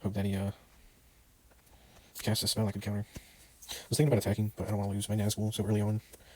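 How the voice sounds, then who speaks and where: A soft-spoken man talks at a very fast pace in a fairly low, monotone, flat voice, broken by long, frequent pauses. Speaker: gaming podcaster. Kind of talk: gameplay commentary. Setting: indoors at night, others asleep. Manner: soft-spoken, talking quietly; casual, hesitant.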